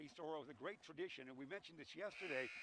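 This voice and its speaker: A man talks at a very fast pace in a fairly high pitch with an animated tone. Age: old. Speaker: play-by-play announcer. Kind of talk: live commentary. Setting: broadcast booth at a high school gym. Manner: loud.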